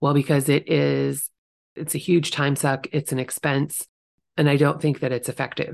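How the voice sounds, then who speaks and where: Vocal fry against a quiet background. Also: woman. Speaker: podcast host and real estate agent. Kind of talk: solo podcast monologue. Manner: casual, chatty.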